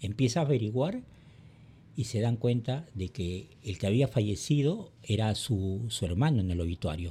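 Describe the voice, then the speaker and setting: A somewhat breathy, dark, mellow tone moves at a moderate pace with lively intonation. The recording is very clean, with a silent background. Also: man, medium pitch for a man. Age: 60s. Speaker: podcast host, personal development. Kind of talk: monologue commentary.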